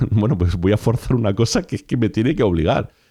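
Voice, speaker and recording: Against a quiet background, a man talks in an animated tone at a very fast pace. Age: 40s. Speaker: podcast host. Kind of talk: solo podcast monologue.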